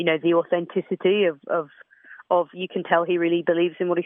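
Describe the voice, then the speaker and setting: The speaker moves at a fairly quick pace with an English Midlands accent. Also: woman. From English Midlands, Leicester. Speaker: protest singer-songwriter. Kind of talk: radio interview. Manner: hesitant, many fillers.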